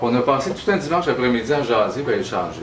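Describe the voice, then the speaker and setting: A man with a Quebec accent at a fairly quick pace, with audible room echo and noticeable background noise. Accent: Québécois French. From Quebec, Abitibi (Rouyn-Noranda). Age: 50s. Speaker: leadership candidate, labour activist. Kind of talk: campaign speech. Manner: conversational, informal.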